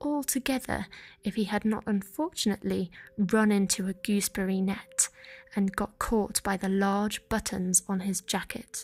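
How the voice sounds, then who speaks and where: Somewhat breathy, a woman speaks at a fairly slow pace with a British accent. Her pitch is medium and her intonation fairly even. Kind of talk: soft-spoken bedtime story reading. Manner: soft-spoken, whispered, gentle.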